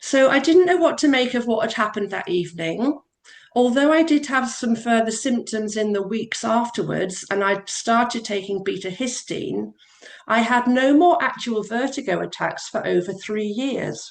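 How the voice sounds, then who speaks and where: With an unremarkable speaking voice, a woman talks at a moderate pace, her fairly high pitch carried by lively intonation. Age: 60s. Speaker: support group member sharing her story. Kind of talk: reading aloud a personal testimony. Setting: video call.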